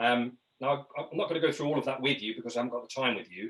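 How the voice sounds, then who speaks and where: Ordinary pitch variation from a man with a British accent. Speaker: leadership trainer. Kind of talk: webinar presentation. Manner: fast.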